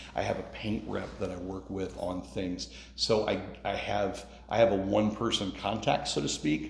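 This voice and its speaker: With lively intonation, a man with a very deep, low pitch speaks at a moderate pace amid noticeable background noise and audible room echo. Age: 50s. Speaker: contractor and small business owner. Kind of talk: interview. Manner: casual.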